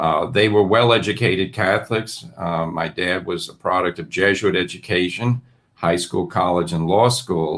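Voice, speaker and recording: With a New York accent, the speaker goes at a moderate pace with hardly any pauses and ordinary pitch variation on a very clean recording with a silent background. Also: man, very deep, low pitch for a man. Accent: New York American. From New York (Brooklyn, Westchester County). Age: 60s. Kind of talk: interview. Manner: halting.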